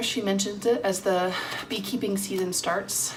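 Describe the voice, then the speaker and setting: At a moderate pace and medium pitch, a woman speaks with a slight Southern US accent amid audible room echo and noticeable background noise. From US South. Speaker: cross-stitch vlogger. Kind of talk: casual vlog chat. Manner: casual with many fillers.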